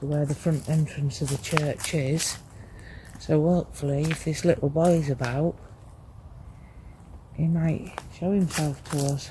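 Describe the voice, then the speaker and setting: Long pauses come often in this quiet voice. Background noise is noticeable throughout. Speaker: paranormal investigator. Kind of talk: ghost hunt walkthrough narration. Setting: outdoors in a graveyard at night. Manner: quiet, hushed; slow, measured.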